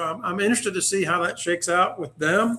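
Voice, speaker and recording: Fairly quick speech. The intonation holds fairly even throughout. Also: man. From North Carolina. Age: 60s. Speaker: sportswriter. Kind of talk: casual chat.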